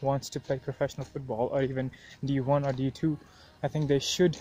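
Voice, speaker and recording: A man speaks in a monotone with flat intonation. The sound is dry, with no echo. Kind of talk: casual vlog chat. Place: open country. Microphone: earbuds.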